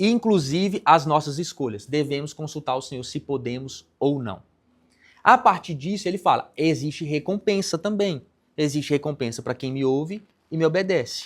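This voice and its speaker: Captured in a very clean recording with a silent background, a man uses an ordinary speaking voice at a fairly high pitch. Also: lively intonation, moderate pace. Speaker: pastor. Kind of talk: sermon.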